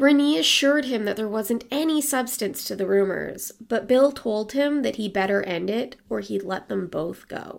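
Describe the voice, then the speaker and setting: A woman with an ordinary speaking voice talks at a moderate pace in a fairly high pitch with lively intonation, in a very clean recording with a silent background. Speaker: podcast host and storyteller. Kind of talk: true-crime narration, storytelling read with a casual, chatty tone. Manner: conversational, wry, with lukewarm humor and asides.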